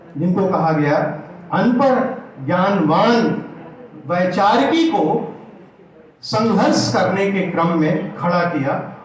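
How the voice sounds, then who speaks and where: A high-voiced man speaks with lively intonation and very even loudness, leaving long, frequent pauses. The room echo is audible and background noise is noticeable. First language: Awadhi (speaking Hindi). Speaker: Hindi literature academic. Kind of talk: lecture. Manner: formal.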